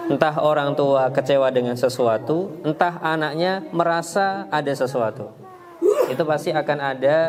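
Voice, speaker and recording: Over noticeable background noise, a man talks at a moderate pace in a fairly high voice with ordinary pitch variation. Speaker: Islamic preacher giving parenting talk. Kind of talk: Q&A answer in religious parenting talk. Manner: hesitant, many fillers.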